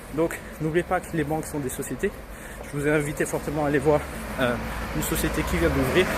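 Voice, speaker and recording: Against noticeable background noise, a man talks with a fairly high pitch and fairly even intonation. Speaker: real estate investor and website founder. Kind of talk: walking vlog tutorial. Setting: outdoors, walking in the street. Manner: fast.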